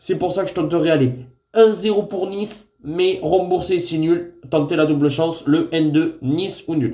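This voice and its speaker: In a room with audible echo, a man with a dark, mellow tone speaks fairly slowly, with ordinary pitch variation. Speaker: football tipster. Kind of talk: football predictions vlog. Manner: hesitant with frequent fillers.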